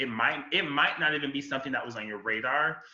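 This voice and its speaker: Audible room echo surrounds a man speaking at a moderate pace and medium pitch, with ordinary pitch variation. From Florida. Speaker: writer and communication professional. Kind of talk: podcast conversation. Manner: halting, many fillers.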